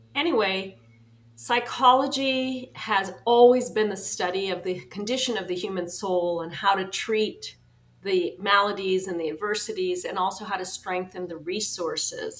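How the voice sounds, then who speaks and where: Her voice is an unremarkable speaking voice, medium in pitch with ordinary pitch variation. The woman speaks at a moderate pace. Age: 60s. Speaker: psychological astrologer and author. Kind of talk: interview.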